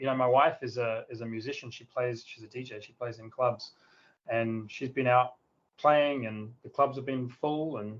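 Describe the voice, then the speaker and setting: A man with an Australian accent at a moderate pace. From South Australia, near Adelaide. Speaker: tech company founder. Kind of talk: interview.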